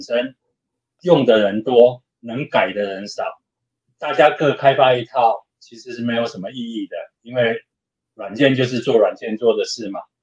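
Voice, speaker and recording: His pitch is medium and his intonation fairly even. The man keeps to a moderate pace. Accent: Taiwanese. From Taiwan. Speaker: open hardware maker advocate. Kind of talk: casual interview chat.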